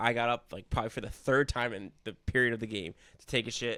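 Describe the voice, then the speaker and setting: The speaker is a man with a medium pitch. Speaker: sports podcast co-host. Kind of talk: casual chat. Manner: animated.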